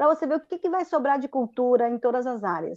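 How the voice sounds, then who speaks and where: Her voice is high-pitched with very wide pitch swings and a dark, mellow tone, captured as a dry, close sound with no echo. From Espírito Santo, Brazil. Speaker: children's theatre artist. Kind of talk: casual chat.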